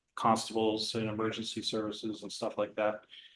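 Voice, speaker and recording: At a moderate pace, a man talks at a medium pitch with an American accent. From California. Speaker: board candidate. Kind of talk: candidate self-introduction at public meeting. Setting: public meeting.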